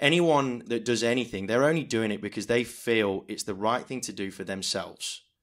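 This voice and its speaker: A man with an ordinary speaking voice and medium pitch speaks at a moderate pace with ordinary pitch variation and hardly any pauses. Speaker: auctioneer. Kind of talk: interview answer.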